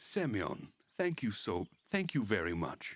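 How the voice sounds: Using a put-on character voice, a man speaks at a fairly slow pace with very wide pitch swings. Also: fairly low pitch for a man.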